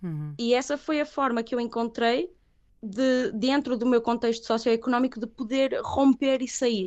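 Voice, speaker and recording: This woman's high voice varies in pitch in an ordinary way as she moves along at a moderate pace. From northern Portugal, Viana do Castelo. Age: 30s. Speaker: singer. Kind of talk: interview.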